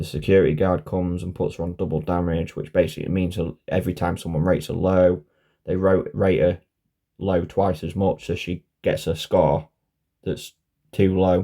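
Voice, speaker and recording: Very deep, low pitch from a man in a British accent, dark and mellow, monotone and flat, at a moderate pace. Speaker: conspiracy vlogger. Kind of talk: casual monologue. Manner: halting.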